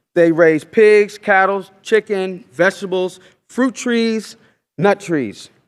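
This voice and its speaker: Loud and in an American accent, a man speaks at a fairly slow pace with high pitch and ordinary pitch variation. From Oklahoma. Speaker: farmer and educator. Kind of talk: lecture. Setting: stage with audience.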